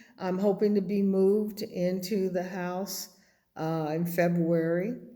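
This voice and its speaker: A woman's dark, mellow tone at a very slow pace, with audible room echo. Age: 70s. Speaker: vlogger building an off-grid house. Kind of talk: casual vlog update. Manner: hesitant, many fillers.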